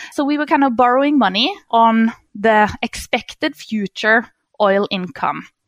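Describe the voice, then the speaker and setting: A woman speaks fairly slowly in a fairly high voice with a Norwegian accent. The sound is dry and close, with no echo. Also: lively intonation. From Norway. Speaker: economist. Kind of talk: interview. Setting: remote call. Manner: halting with fillers.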